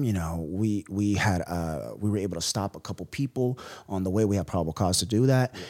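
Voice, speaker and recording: With a plain, everyday voice, a man speaks at a fairly low pitch and moderate pace, his intonation lively, in a very clean recording with a silent background. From US West Coast, San Francisco. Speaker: entrepreneur, former police officer. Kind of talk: casual interview.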